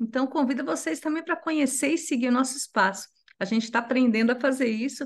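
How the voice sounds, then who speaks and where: Using a plain, everyday voice, a woman talks at a moderate pace with ordinary pitch variation. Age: 60s. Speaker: NGO executive director. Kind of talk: panel discussion.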